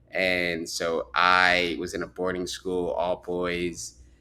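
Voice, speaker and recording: In an American accent, a man speaks with a very deep, low pitch and a bright, sharp tone. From US, Chicago and New York, teen years in Lagos. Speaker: startup founder. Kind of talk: interview.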